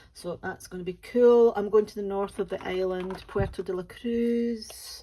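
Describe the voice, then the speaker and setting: A woman with a Scottish accent speaks at medium pitch. Her pace is fairly slow and her intonation is monotone and flat. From West Coast of Scotland, Ayrshire. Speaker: diamond painting YouTuber. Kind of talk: casual chat. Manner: halting, many fillers.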